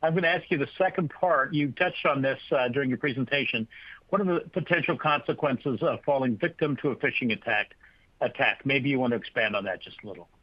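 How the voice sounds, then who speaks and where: A man talks at a very fast pace. His fairly high voice shows ordinary pitch variation. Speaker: webinar host. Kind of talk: webinar Q&A moderation.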